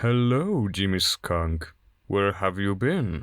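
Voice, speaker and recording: A man's put-on character voice, fairly low in pitch and very slow, in a very clean recording with a silent background. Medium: audio drama.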